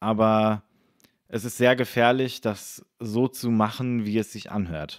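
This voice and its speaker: Speaking at a very slow pace, a man keeps his medium pitch in fairly even intonation. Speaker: musician and YouTuber. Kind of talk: casual chat.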